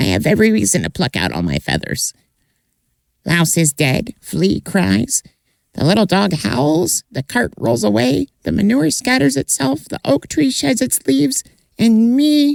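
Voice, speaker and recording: A put-on character voice is performed here at a moderate pace. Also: man, fairly high pitch for a man. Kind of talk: folktale telling. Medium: read story. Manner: repetitive, sing-song.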